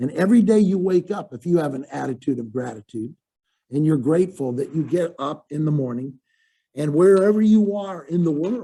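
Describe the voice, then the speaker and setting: A fairly quick man's voice, fairly high in pitch, with lively intonation and a dark, mellow tone. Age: 70s. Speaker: motivational speaker. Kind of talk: webinar talk. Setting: webinar.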